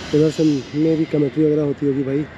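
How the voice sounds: A man talks fast in a dark, mellow tone at a fairly high pitch. His pitch barely moves, and faint background noise is present.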